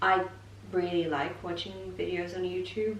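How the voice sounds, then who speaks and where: A woman with a fairly low pitch speaks at a fairly slow pace, with audible room echo and noticeable background noise. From Poland. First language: Polish. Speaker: family vlogger. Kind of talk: casual chat.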